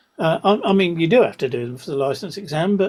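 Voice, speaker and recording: Speaking at a fairly quick pace, a man with an English accent has a high pitch. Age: 70s. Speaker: amateur radio presenter. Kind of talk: online presentation. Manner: halting, many repetitions.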